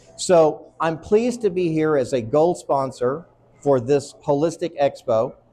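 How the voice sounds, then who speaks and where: A man's fairly high voice with a dark, mellow tone, a fairly slow pace and lively intonation. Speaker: psychiatrist. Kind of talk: conference talk. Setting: stage at an expo.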